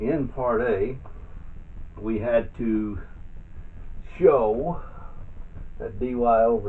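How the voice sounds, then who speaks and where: Audible room echo hangs around the voice of a man whose pitch varies ordinarily. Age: 60s. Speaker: math tutor. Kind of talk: tutorial. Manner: halting.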